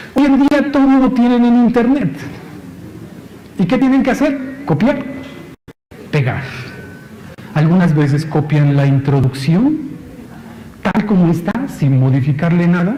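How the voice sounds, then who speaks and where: A man's high voice at a fairly slow pace, with very wide pitch swings, very even loudness, long, frequent pauses, audible room echo and noticeable background noise. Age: 40s. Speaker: university lecturer. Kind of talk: conference talk. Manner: conversational, frequent tag questions.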